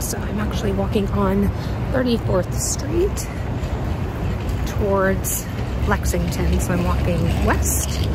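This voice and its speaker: Loud background noise fills a dry recording with no echo as a woman talks at a fairly slow pace. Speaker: lifestyle vlogger. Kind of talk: casual vlog chat. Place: street. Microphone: phone near.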